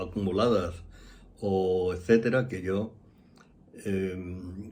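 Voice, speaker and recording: In a room with audible echo, a man with a dark, mellow tone and fairly low pitch speaks at a very slow pace. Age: 70s. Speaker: astrologer. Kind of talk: casual monologue.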